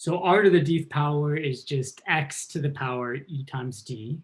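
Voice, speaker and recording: A man's fairly high, somewhat breathy voice at a fairly slow pace, with ordinary pitch variation. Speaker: math professor. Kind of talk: lecture.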